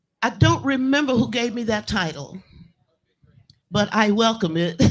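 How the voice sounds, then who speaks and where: This woman has a fairly high pitch and sounds somewhat breathy. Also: lively intonation, moderate pace. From US South. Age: 80s+. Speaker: blues singer. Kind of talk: interview. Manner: halting.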